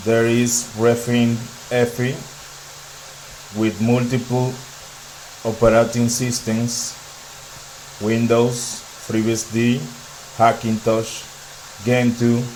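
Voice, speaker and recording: A flat monotone in a Dominican accent at a very slow pace, with long, frequent pauses, audible room echo and noticeable background noise. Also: man, medium pitch for a man. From Dominican Republic. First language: Spanish. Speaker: tech YouTuber. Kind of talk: tech demo walkthrough.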